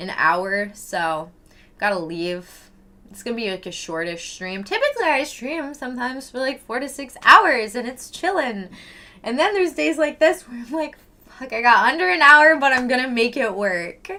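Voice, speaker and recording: With a Canadian accent, a woman speaks at a moderate pace in a high pitch, her animated, bright, sharp tone marked by very wide pitch swings and big swings in loudness. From Canada, Vancouver Island. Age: 20s. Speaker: livestreamer. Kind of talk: casual chat. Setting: live stream.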